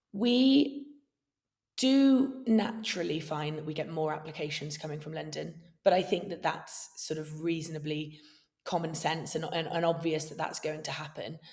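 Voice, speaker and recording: A woman's fairly low, somewhat breathy voice at a moderate pace, with lively intonation, big swings in loudness and audible room echo. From Wales. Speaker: entrepreneur, awards founder. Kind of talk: podcast interview.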